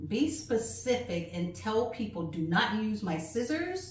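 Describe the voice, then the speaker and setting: Very slowly, a woman speaks at a fairly high pitch with very wide pitch swings, and audible room echo surrounds her voice. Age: 60s. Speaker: flag-making craft teacher. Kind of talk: tutorial. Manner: casual, chatty.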